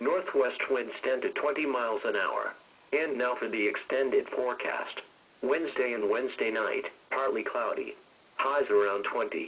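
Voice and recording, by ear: With a fairly bright tone, a man speaks at a fairly slow pace.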